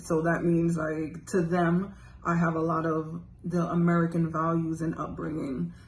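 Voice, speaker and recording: A woman's fairly low, monotone, flat voice with a slight Jamaican accent, plus noticeable background noise and audible room echo. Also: fairly slow pace. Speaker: interviewee. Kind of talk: casual interview answers.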